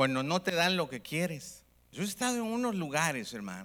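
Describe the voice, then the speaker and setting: An animated man speaks in a high pitch with very wide pitch swings at a moderate pace. The recording is very clean, with a silent background. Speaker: preacher. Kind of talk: sermon to a live congregation, call-and-response preaching. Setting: church with audience. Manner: animated, fervent, repeatedly addressing the audience as 'hermano'; exhorting, rising-tone pulpit delivery with rhetorical questions.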